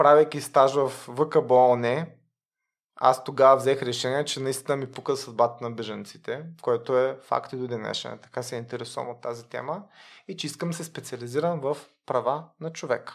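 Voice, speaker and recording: A man with a plain, everyday voice speaks at a moderate pace and medium pitch, his intonation fairly even but his loudness swinging widely, on a very clean recording with a silent background. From Bulgaria, Varna. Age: 30s. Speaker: lawyer. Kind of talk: casual interview.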